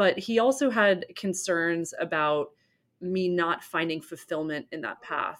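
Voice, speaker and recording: In a plain, everyday voice, a woman with an American accent talks at a fairly slow pace, her pitch fairly low and her intonation lively, on a very clean recording with a silent background. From US Northeast, Rhode Island. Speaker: entrepreneur, company co-founder. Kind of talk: interview.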